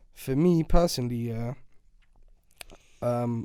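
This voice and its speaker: In a London accent, a man speaks with a dark, mellow tone and fairly even intonation. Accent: London Multicultural English. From Iraq (Baghdad), moved to UK at 8. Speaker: rapper. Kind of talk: podcast interview. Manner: casual, slangy.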